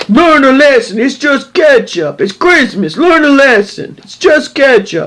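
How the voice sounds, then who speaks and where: A man does a cartoonish character voice with a New York accent at an extremely high pitch. He talks at a fairly slow pace with hardly any pauses. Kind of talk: speaker says it sounds like a drunk cartoon plumber, a poor imitation. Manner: gruff, confrontational.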